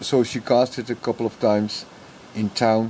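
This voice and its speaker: With a Dutch accent, a man talks at a fairly slow pace. His pitch sits in the medium range. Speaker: YouTuber. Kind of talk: casual vlog monologue. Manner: halting.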